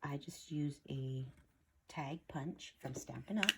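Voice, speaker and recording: A woman whispering, soft-spoken and hushed. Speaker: craft video creator. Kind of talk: tutorial. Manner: soft-spoken, near whisper.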